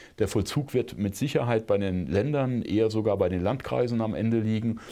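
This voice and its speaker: A man's dark, mellow, fairly low-pitched voice at a moderate pace, with ordinary pitch variation and a quiet background. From Rhineland-Palatinate, Germany (Bad Kreuznach). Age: 50s. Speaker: conservation and hunting association director, former politician. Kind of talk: podcast interview.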